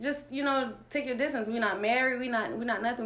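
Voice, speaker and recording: A woman's fairly even intonation comes through with audible echo from the room. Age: 20s. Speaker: guest sharing abuse story. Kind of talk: testimony. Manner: halting.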